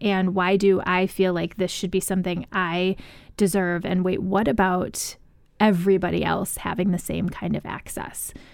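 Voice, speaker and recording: A normal speaking voice with an American accent at a fairly slow pace, in a very clean recording with a silent background. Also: woman. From US Midwest. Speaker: author. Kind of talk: radio interview, book discussion. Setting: studio.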